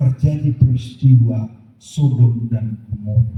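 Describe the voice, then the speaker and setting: A man's somewhat breathy, dark and mellow voice at medium pitch, very slow, with fairly even intonation. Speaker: pastor. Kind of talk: sermon.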